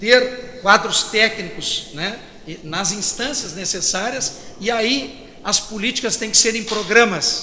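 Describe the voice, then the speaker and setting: A man with a high pitch speaks at a very slow pace, showing ordinary pitch variation and big swings in loudness. Audible room echo and noticeable background noise are present. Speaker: federal congressman. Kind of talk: panel talk. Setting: stage with audience. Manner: halting, repetitive. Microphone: far from mic, loud sound system.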